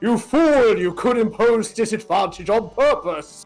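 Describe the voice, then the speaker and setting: A man puts on a character voice with a pompous tone, high-pitched for a man, at a moderate pace. Faint music sits in the background. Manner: pompous, scolding.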